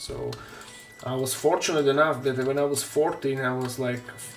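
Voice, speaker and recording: Someone speaks at a moderate pace with a Slovak accent, with audible room echo and noticeable background noise. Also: man. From Slovakia. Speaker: terrain maker and miniature painter streamer. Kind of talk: casual live-stream chat.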